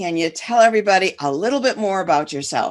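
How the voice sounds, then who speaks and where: A woman speaks at a medium pitch and a fairly quick pace. Her intonation is lively. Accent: American. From Detroit, Michigan. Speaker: business coach and podcast host. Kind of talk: podcast interview.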